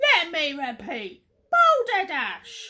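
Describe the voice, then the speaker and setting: A woman shouts in a put-on character voice. It is extremely high-pitched with very wide pitch swings. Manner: booming, shouting.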